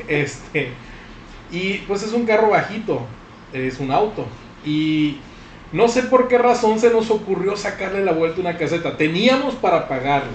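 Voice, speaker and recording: Noticeable background noise accompanies a man with a high pitch. His intonation is lively, and he leaves long, frequent pauses. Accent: northwestern Mexican. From Sinaloa, Mexico. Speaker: podcast host. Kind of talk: casual chat.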